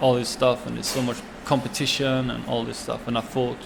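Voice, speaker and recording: Over noticeable background noise, a man speaks fairly quickly at a medium pitch with monotone, flat intonation. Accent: Swedish. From Sweden. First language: Swedish. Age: 20s. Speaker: chef and restaurant owner. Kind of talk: interview answer.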